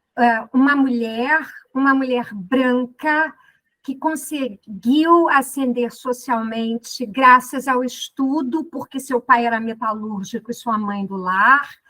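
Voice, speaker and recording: In a Rio de Janeiro accent, a woman speaks at a very slow pace with a high pitch, a bright, sharp tone and ordinary pitch variation. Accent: carioca. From Rio de Janeiro, Brazil. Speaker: law professor. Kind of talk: podcast interview. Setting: studio.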